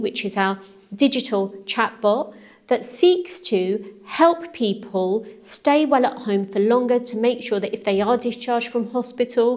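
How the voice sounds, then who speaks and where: A woman's high-pitched voice at a fairly slow pace with ordinary pitch variation, over noticeable background noise. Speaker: council leader, politician. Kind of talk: interview answer. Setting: council chamber, echoey room.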